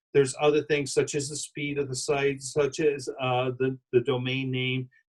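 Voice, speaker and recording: This man's voice sits fairly high and comes out somewhat breathy. He keeps a moderate pace and a flat, monotone intonation. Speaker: wedding business marketing expert. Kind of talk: live interview.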